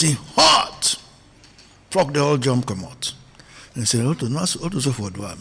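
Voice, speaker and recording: A man with a medium-pitched voice speaks at a moderate pace with lively intonation and long, frequent pauses, over noticeable background noise. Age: 70s. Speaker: founder of an organisation. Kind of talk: radio interview.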